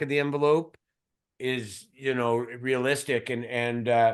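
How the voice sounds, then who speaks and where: In a Canadian accent, the speaker keeps a monotone, flat intonation against a quiet background. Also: man. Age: 50s. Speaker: mining company CEO. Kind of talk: interview. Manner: halting, repeats words.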